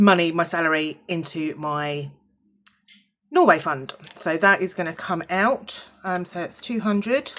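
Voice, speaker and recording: The speaker has a British accent. The pitch varies in an ordinary way. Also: woman, fairly low pitch for a woman. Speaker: budgeting vlogger. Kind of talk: casual vlog, counting money. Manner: casual, chatty with fillers.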